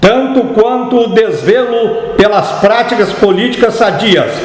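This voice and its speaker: A man talks fairly slowly. Noticeable noise runs in the background. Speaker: narrator reading a historical political text. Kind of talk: formal historical manifesto reading.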